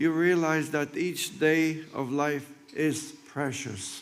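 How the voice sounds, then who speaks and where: Very slow speech from a man with a fairly high pitch, fairly even intonation and audible room echo. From Poland, Krakow. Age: 90s. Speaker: Holocaust survivor. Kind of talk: commemorative speech. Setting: memorial ceremony with audience.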